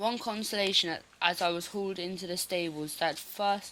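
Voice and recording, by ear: The words are read aloud in a natural voice. Intonation remains fairly even throughout.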